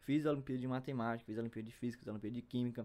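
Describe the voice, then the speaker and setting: A man's dark, mellow voice at a very fast pace. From Brazil, Piauí (Picos). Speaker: math student, podcaster. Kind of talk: casual monologue. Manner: halting.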